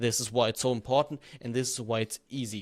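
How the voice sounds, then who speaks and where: The recording is very clean, with a silent background. A man with a non-native accent speaks at a medium pitch and a fairly quick pace. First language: not English. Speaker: YouTube growth coach. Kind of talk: tutorial. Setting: in front of a camera. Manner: freestyle, unscripted.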